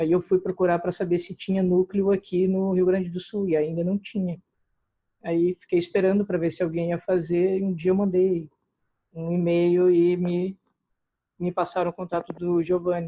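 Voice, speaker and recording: This man has a high voice with a dark, mellow tone and flat, monotone intonation. The sound is dry and close, without any echo. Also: moderate pace. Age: 20s. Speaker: history student, political volunteer. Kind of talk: self-introduction in online meeting.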